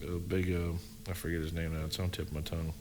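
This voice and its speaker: A man with a Tennessee accent. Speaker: paranormal podcast co-host. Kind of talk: casual chat. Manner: rambling with fillers, animated.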